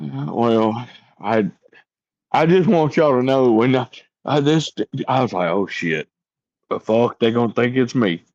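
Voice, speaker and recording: The delivery is fairly slow, with long, frequent pauses and very wide pitch swings in an American accent. The sound is dry and close, with no echo. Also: man, medium pitch for a man. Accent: strong Southern accent, toned down a little. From East Texas. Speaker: career police officer. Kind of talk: casual panel chat.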